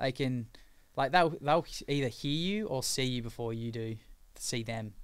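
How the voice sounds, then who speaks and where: In a very clean recording with a silent background, a man speaks with an Australian accent. His pace is moderate, and his medium pitch shows ordinary variation. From Australia, Sydney. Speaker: pro foiler. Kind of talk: casual chat. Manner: halting.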